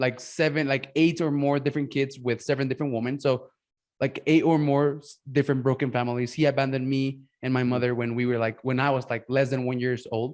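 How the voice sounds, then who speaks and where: In a Mexican accent, a man with a fairly high pitch speaks in a monotone, flat intonation against a quiet background. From Mexico. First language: Spanish. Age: 20s. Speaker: podcast host and business coach. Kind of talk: casual interview chat. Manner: halting, many fillers and restarts.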